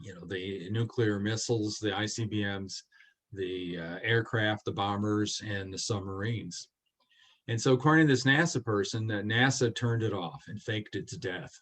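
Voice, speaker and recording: This man has an ordinary speaking voice, fairly low in pitch, with ordinary pitch variation, big swings in loudness and a moderate pace. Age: 60s. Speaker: space warfare expert. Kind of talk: lecture.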